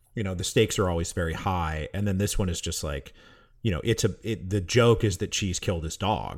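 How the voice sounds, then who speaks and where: A man's very deep, low, somewhat breathy voice at a fairly quick pace, with ordinary pitch variation on a very clean recording with a silent background. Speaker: history podcaster. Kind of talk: casual chat.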